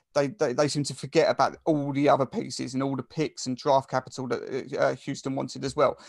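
A man with an Essex accent talks at a fairly quick pace with hardly any pauses, and the sound is dry and close with no echo. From England, Essex. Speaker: sports podcast host. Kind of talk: casual sports chat.

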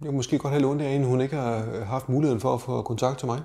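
Man's dark, mellow tone at a medium pitch, fairly even intonation, fairly quick pace, very clean recording with a silent background. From Denmark, Slagelse (Zealand). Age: 50s. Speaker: adoptee sharing personal story. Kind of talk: personal testimony interview. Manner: hesitant, filler words and repetitions.

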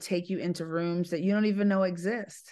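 In a quiet background, a woman uses a normal speaking voice at medium pitch and a moderate pace, with fairly even intonation. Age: 50s. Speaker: public speaker and business owner. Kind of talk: interview.

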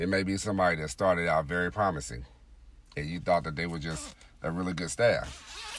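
A man speaks at a moderate pace in a very deep, low voice with vocal fry. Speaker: podcast host. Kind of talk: solo monologue podcast. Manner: frequent filler words.

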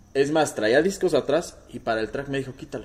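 This man talks at a fairly quick pace with a Mexican accent. His pitch is fairly high. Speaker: car restoration workshop owner. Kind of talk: casual chat.

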